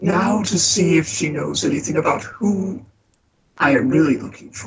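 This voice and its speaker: A put-on character voice at middle pitch, with slight echo. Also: moderate pace. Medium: read story. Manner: measured, muttering to himself.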